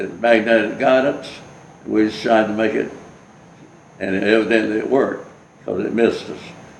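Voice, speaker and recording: Audible room echo and noticeable background noise surround this man. He talks with a Southern US accent and fairly even intonation. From US South. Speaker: war veteran. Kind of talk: oral history interview. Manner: halting.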